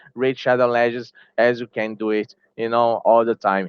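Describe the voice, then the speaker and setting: In a Portuguese accent, the speech moves at a moderate pace. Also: man. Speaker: gaming YouTuber. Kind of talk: opinion commentary video. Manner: halting, with many fillers.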